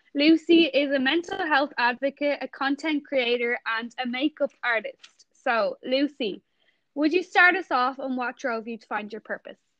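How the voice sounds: The speech comes at a moderate pace, with a dry, close sound and no echo. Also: woman, high pitch for a woman, ordinary pitch variation, fairly bright tone.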